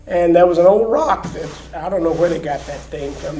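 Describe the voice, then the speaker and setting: Noticeable background noise runs behind a man with an American accent. His pitch is high, with ordinary pitch variation. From Oklahoma. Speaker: retired agricultural economist. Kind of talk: oral history interview answer.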